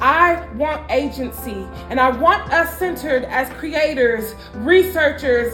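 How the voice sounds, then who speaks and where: With music in the background, a woman with an American accent speaks at a very slow pace in a high pitch with ordinary pitch variation. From Minnesota. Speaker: spoken word artist. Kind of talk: spoken word poetry performance.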